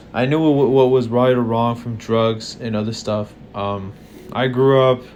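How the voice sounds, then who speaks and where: At a moderate pace, a man with a medium pitch speaks with fairly even intonation amid noticeable background noise. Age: 20s. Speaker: vlogger. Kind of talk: casual monologue. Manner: halting.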